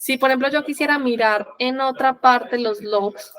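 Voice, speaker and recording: A woman speaks in an unremarkable speaking voice at a fairly slow pace. Her intonation stays fairly even. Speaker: software trainer. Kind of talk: tutorial.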